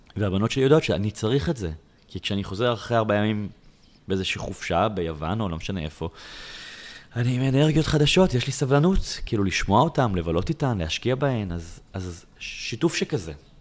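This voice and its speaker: His voice is fairly low for a man and swings very widely in pitch. He talks at a fairly quick pace. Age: 40s. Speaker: author and lecturer. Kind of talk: interview.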